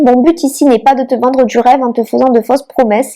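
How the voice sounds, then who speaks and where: In a southern French accent, a woman speaks at a moderate pace with a high pitch and fairly even intonation. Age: 30s. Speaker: micro-nursery founder and online trainer. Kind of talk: online masterclass presentation.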